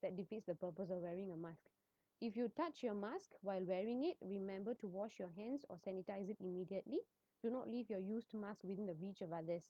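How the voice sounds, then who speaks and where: A woman speaks at medium pitch. Her pace is very fast. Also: ordinary pitch variation. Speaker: pharmacist. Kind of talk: informational talk. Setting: livestream on social media. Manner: soft-spoken. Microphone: too quiet, then adjusted.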